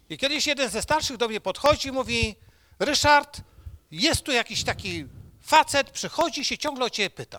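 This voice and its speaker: At a moderate pace, a man speaks at an extremely high pitch with lively intonation, the sound dry and close with no echo. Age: 60s. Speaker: preacher. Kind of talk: sermon.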